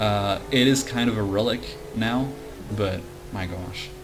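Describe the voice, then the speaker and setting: Amid audible room echo and background music, a man speaks at a fairly low pitch with ordinary pitch variation. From France. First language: French. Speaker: gaming YouTuber. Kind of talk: casual gameplay commentary. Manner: rambling, hesitant with fillers.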